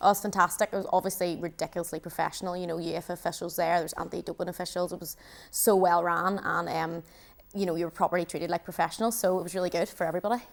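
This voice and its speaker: A woman talks at a very fast pace with a fairly low pitch and monotone, flat intonation. The recording is very clean, with a silent background. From Northern Ireland. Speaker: futsal international player. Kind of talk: studio interview. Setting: TV studio.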